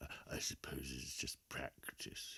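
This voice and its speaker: A man whispers in a put-on character voice. He goes at a fairly slow pace. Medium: read story. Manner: slow, hesitant, full of "uh"s.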